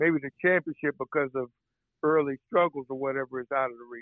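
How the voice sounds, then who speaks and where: A man with an ordinary speaking voice talks fairly quickly at a fairly high pitch, his intonation fairly even. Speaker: sports journalist. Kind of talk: casual interview.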